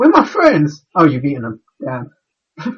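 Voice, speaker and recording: The tone is bright and sharp, with very wide pitch swings at a fairly slow pace. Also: man. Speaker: podcast co-host. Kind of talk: casual chat. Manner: halting.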